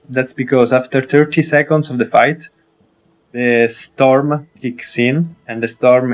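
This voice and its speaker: Fairly even intonation accompanies a fairly slow delivery. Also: man. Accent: Italian. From Italy. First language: Italian. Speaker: gaming streamer. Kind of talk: game tutorial commentary. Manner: hesitant, many fillers.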